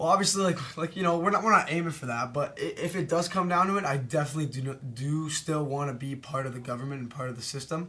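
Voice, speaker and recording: A fairly high-pitched male voice at a very fast pace, with ordinary pitch variation and noticeable background noise. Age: young. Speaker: student council candidate. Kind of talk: interview. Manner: halting, repetitive.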